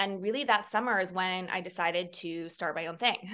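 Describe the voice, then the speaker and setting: A woman speaks at a fairly quick pace with an American accent. Her tone is bright and sharp, and the background is quiet. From San Francisco, California. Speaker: entrepreneur and wellness expert. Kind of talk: interview.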